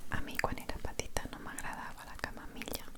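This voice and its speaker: A woman talks in a whisper at a moderate pace. Noticeable background noise is present behind her. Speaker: energy therapist. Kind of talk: ASMR video. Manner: whispered.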